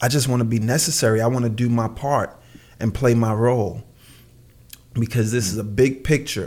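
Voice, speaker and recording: With a New York accent, a man talks at a medium pitch. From Brooklyn, New York. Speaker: clothing designer. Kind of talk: casual chat. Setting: remote call.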